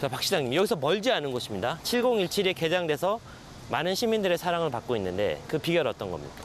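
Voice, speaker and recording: A man speaks at a high pitch and fairly quick pace, his voice making very wide pitch swings. The sound is dry with no echo, over light background noise. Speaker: TV host. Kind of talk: interview. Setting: outdoors. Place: garden. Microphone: lapel.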